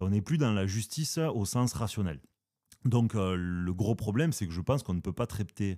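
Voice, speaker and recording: A man with a southern French accent speaks at a fairly low pitch with lively intonation. The recording is very clean, with a silent background. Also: moderate pace. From southern France. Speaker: philosophy podcast host. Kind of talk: casual philosophical discussion. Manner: hesitant, many fillers.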